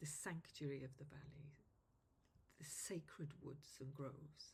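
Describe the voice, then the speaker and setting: Against audible room echo, a woman with a Welsh accent speaks at a fairly slow pace, somewhat breathy and very deep in pitch, her intonation monotone and flat. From Wales. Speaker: druid and tour guide. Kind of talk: self-interview monologue.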